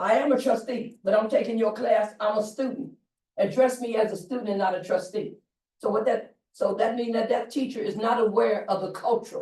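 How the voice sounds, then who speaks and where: A woman's fairly high, dark and mellow voice, somewhat breathy, at a fairly quick pace. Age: 70s. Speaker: college board trustee. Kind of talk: board meeting remarks. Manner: animated.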